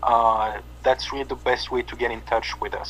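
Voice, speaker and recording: A man talks at a moderate pace with a French accent. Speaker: metal band bass player. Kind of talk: interview. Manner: halting, many fillers.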